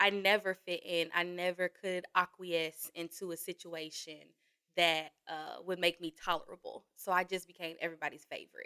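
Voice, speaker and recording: In a strong Southern US accent, a woman speaks at a moderate pace and fairly low pitch with monotone, flat intonation and a bright, sharp tone, in a dry, close sound with no echo. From New Orleans, Louisiana. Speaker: podcast guest. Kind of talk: casual chat.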